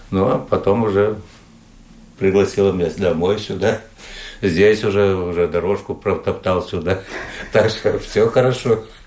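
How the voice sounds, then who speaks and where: A man talks at a fairly low pitch and a fairly slow pace, with fairly even intonation. His loudness stays very even, broken by long, frequent pauses. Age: 60s. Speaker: retired sailor and shoemaker. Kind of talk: interview. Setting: at home. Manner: halting.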